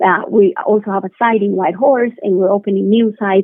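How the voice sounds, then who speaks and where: Speaking very fast, a woman uses a Spanish accent. Her pitch is medium, with ordinary pitch variation. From Colombia. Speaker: biotech company co-founder. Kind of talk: interview. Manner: halting.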